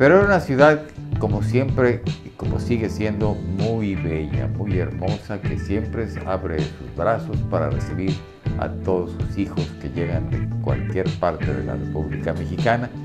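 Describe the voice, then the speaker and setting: Loud music plays in the background. The speaker talks at a fairly slow pace. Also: man. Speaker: radio announcer. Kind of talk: casual talk to camera, reminiscing. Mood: warm, nostalgic. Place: studio. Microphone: lapel.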